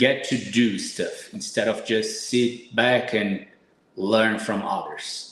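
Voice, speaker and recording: With a Brazilian Portuguese accent, a man speaks at a very slow pace. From Brazil, São Paulo. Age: 30s. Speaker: supplement company owner, fitness guest. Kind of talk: podcast interview.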